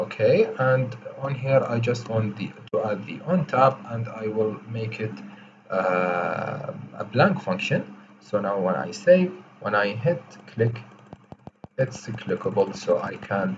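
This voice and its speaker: With lively intonation and medium pitch, a man speaks at a very slow pace, leaving long, frequent pauses amid noticeable background noise. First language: not English. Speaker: coding tutorial creator. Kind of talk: tutorial. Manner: slow, deliberate; hesitant, many fillers.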